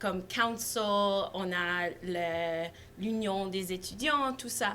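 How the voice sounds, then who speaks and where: With a non-native accent, a woman speaks very slowly at a medium pitch with ordinary pitch variation, and room echo is audible. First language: not French (speaking French). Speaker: student environmental activist. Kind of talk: panel talk. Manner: halting, frequent hesitations.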